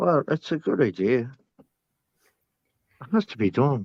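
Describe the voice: In an Irish accent, a man talks at a medium pitch and fairly slow pace, with vocal fry, a slightly husky edge and big pitch swings, in a dry, close sound with no echo.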